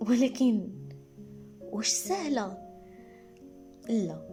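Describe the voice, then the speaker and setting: With music in the background, a woman with a Moroccan accent speaks using ordinary pitch variation. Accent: Moroccan Arabic (Darija). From Morocco. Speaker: teacher and content creator. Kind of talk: personal podcast storytelling.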